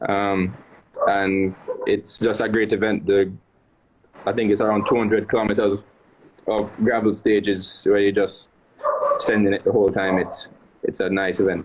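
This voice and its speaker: Speaking in a Jamaican accent at a moderate pace, a man keeps his loudness very even and leaves long, frequent pauses. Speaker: rally driver. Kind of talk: podcast interview. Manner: halting.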